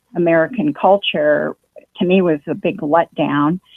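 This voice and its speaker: A woman speaks at a fairly slow pace in a fairly low pitch. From grew up abroad in several countries, then US. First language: German. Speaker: former astrologer. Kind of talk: testimony. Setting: phone call.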